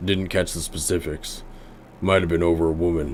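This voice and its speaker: A man's put-on character voice, very deep and low, monotone and flat, at a moderate pace over clear background noise. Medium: game stream. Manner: terse, dry.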